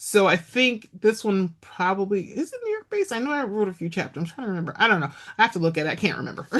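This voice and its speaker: With lively intonation and hardly any pauses, a woman rushes along at a very fast pace and medium pitch. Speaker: romance author. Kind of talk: casual chat. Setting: podcast interview.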